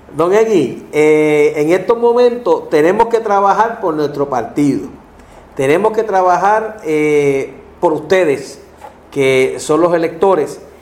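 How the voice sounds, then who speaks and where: Very slow and very even in loudness, the voice has lively intonation over noticeable background noise. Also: man, high pitch for a man. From Puerto Rico, Ponce. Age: 50s. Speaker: political candidate. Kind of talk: interview.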